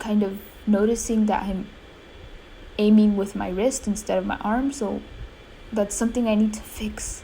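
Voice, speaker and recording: Long, frequent pauses break up a somewhat breathy delivery with a dark, mellow tone and a monotone, flat intonation. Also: woman, fairly high pitch for a woman, moderate pace. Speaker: gaming youtuber. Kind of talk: gameplay commentary. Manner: hesitant, many fillers.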